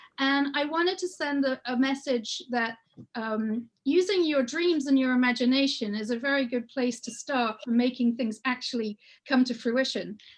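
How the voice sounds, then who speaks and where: A woman's high voice with an English accent, at a moderate pace with ordinary pitch variation. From England. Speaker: children's book author and illustrator. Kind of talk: workshop presentation. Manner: conversational, with frequent hesitations.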